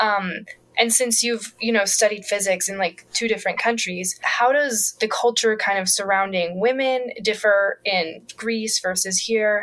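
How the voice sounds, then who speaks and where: With an ordinary speaking voice, a woman speaks fairly slowly at a fairly high pitch, her intonation fairly even and hardly any pauses between words. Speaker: podcast co-host. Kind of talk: interview conversation.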